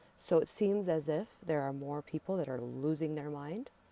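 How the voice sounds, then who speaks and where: With an American accent, a woman speaks at a moderate pace in a dark, mellow, fairly low voice with ordinary pitch variation. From US Southwest. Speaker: spiritual teacher. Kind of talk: monologue to camera. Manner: loud.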